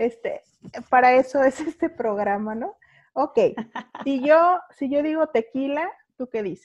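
A woman speaks fairly slowly at a high pitch with lively intonation and long, frequent pauses. The sound is dry and close with no echo, over a quiet background. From Mexico, Guadalajara. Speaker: podcast host. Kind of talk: casual interview chat. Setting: video call.

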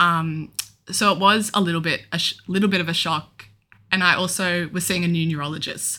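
A woman with an Australian accent, bright and sharp in tone, fairly quick, in a monotone, flat intonation. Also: fairly low pitch for a woman. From Australia, Melbourne. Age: 20s. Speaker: young adult with epilepsy, podcast co-host. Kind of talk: casual chat.

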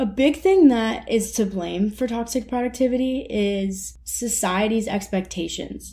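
A dark, mellow, somewhat breathy voice speaks at a fairly slow pace. Its pitch variation is ordinary. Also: woman, fairly high pitch for a woman. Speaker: podcast host, college student. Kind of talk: casual solo monologue.

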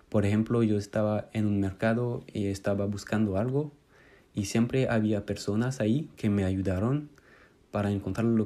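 On a very clean recording with a silent background, a man with a French accent speaks at a fairly low pitch with fairly even intonation. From France. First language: French (speaking Spanish). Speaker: Spanish student. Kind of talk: recorded monologue.

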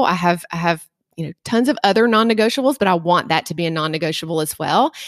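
In a Southern US accent, the speech shows ordinary pitch variation and has a dry, close sound with no echo. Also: woman. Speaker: nurse practitioner. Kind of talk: interview.

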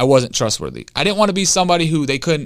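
An energetic, passionate man with an American accent, very fast, with lively intonation and vocal fry. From Detroit, Michigan. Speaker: recovered addict and former inmate. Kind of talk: guided visualization read from a book, leading the listener to their own funeral; casual interview testimony. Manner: energetic, fired-up and passionate.

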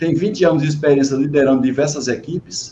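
A man talks at a fairly quick pace in a fairly high pitch. His tone is dark and mellow, and somewhat breathy. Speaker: live-stream host, management and quality. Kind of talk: online interview. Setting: video call live stream.

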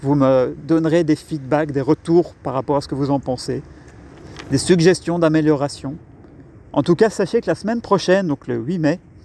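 In a dry, close sound with no echo, a man with a fairly high pitch and a dark, mellow tone talks at a moderate pace with ordinary pitch variation and long, frequent pauses. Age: 30s. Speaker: podcast host and communication coach. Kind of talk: solo podcast introduction. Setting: outdoors in a park.

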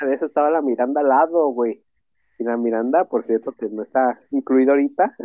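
Pitched in the medium range with ordinary pitch variation, a man uses an ordinary speaking voice and moves at a fairly quick pace. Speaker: podcast co-host. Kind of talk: casual chat.

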